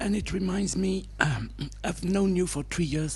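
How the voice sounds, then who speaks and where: Fairly quick male speech carrying audible room echo. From France and Britain. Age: 60s. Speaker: satsang participant. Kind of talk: question at spiritual gathering. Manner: halting.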